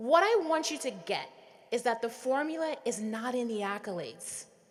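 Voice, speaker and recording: A woman with an American accent at a moderate pace, her pitch swinging very widely, amid audible room echo. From US Virgin Islands, St Thomas. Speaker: commencement speaker, tech executive. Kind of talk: commencement speech. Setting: arena stage with audience.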